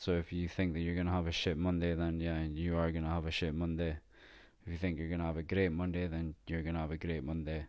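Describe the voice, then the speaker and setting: A man with a Scottish accent speaks very fast in a very deep, low voice with flat, monotone intonation. The recording is very clean, with a silent background. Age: 30s. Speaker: podcast host. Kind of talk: casual solo monologue.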